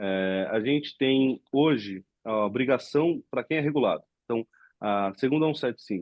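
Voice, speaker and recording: The voice is an unremarkable speaking voice with ordinary pitch variation. It moves at a moderate pace. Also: man, medium pitch for a man. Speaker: webinar host. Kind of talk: webinar Q&A. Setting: live webinar.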